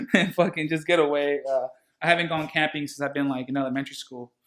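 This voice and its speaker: This man has a bright, sharp tone and a fairly high pitch, speaking with a Spanish accent. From San Diego, California (San Ysidro, near the border). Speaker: barber and DJ. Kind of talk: casual chat. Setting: barber shop.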